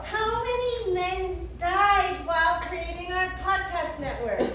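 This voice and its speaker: Putting on a character voice, a woman speaks at an extremely high pitch and a fairly slow pace. Loud background noise and a clear echo fill the recording. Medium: stage play. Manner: eager, exclamatory.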